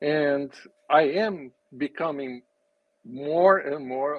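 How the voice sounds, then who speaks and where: With a Brazilian Portuguese accent, a man speaks at a fairly high pitch. His pitch shifts in an ordinary way. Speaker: business and spirituality coach, race car driver. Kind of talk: casual interview.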